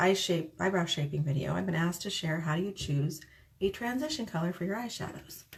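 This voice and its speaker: A soft-spoken, somewhat breathy woman's voice, fairly low in pitch, with lively intonation. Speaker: makeup tutorial vlogger. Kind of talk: tutorial. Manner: soft-spoken, talking quietly; casual.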